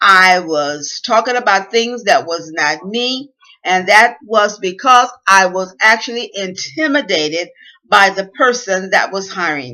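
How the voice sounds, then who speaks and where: The woman's intonation is lively. She keeps to a fairly slow pace. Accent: Southern US. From US South. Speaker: inspirational speaker. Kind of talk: motivational talk. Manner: careful enunciation at times.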